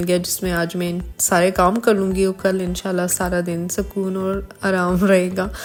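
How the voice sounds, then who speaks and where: The delivery moves at a very slow pace. Its intonation stays monotone and flat. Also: woman. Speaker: lifestyle vlogger. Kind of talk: casual vlog narration.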